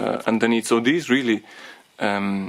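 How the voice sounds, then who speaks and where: A man with a non-native accent speaks in a medium pitch. His pace is fairly slow and his intonation fairly even. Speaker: DIY car repair tutor. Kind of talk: tutorial talk to camera. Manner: hesitant, many fillers.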